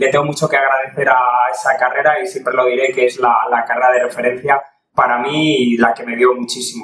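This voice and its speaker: A plain, everyday voice from a man, medium in pitch, with fairly even intonation and a fairly quick pace. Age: 40s. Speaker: race announcer. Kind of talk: interview.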